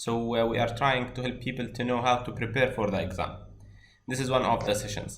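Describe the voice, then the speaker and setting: A man with a non-native accent at a fairly quick pace, medium pitch, monotone and flat intonation, plus audible room echo. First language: not English. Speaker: course instructor. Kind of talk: online class introduction.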